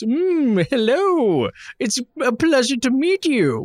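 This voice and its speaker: On a very clean recording with a silent background, a man puts on a pompous character voice, extremely high-pitched with very wide pitch swings, delivered at a very slow pace. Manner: pompous, overly lawful.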